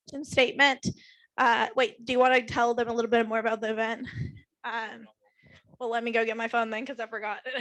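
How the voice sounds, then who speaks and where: Against a quiet background, a woman talks at a high pitch. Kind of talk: team meeting announcement.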